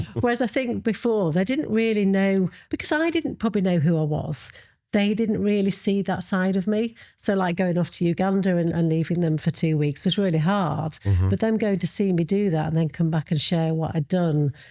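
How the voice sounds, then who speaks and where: A woman with a Yorkshire accent, dark, mellow tone and very even loudness, on a very clean recording with a silent background. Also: medium pitch for a woman, ordinary pitch variation, fairly quick pace. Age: 50s. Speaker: model and body confidence activist. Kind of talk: podcast interview answer. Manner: casual, hesitant.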